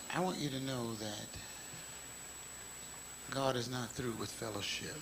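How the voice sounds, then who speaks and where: At a fairly slow pace, a man speaks with a medium pitch and ordinary pitch variation over noticeable background noise. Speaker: bishop, gospel preacher. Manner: prophetic, excited, with audience call-and-response. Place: church. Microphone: podium.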